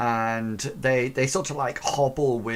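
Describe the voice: This is a plain reading aloud, and its intonation stays fairly even throughout.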